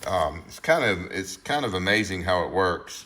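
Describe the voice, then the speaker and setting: A man's fairly slow speech with audible room echo and noticeable background noise. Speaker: car YouTuber. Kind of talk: casual tutorial walkthrough. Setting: garage under a car lift. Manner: mumbling, halting with many fillers.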